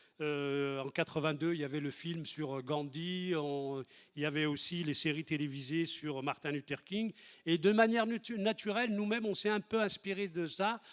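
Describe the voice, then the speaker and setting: Speaking at a moderate pace, the man has a fairly high pitch that varies in an ordinary way. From France, Lyon area (Les Minguettes), Algerian-born. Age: 60s. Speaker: activist, historic 1983 marcher. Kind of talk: testimony. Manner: halting, many hesitations and repetitions.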